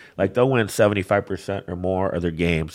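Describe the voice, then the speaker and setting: A man with a Michigan accent speaks at a very deep, low pitch with fairly even intonation. The recording is very clean and the background silent. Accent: US Midwest (Michigan). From Michigan (Flint area). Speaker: bookmaker. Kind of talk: casual chat.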